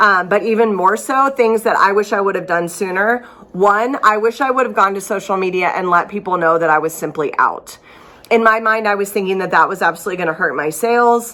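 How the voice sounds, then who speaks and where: A woman talks at a fairly quick pace with medium pitch and ordinary pitch variation. Noticeable background noise is present. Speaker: small business owner and vlogger. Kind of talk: casual vlog talk. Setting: studio workspace. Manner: casual, many fillers.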